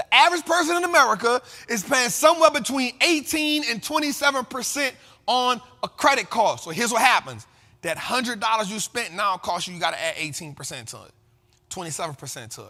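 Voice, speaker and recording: Over background music, a man with an extremely high pitch speaks at a very fast pace in a raised, projected voice. His tone is passionate, with very wide pitch swings and big swings in loudness. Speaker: finance and investing commentator host. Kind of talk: casual talk to camera, motivational financial commentary. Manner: passionate, emphatic, conversational.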